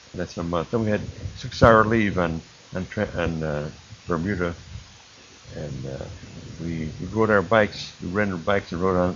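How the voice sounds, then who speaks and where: A man's very deep, low voice with an American accent, ordinary pitch variation, and a moderate pace, amid noticeable background noise. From Illinois, Chicago area. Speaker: war veteran. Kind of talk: oral history testimony. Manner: halting.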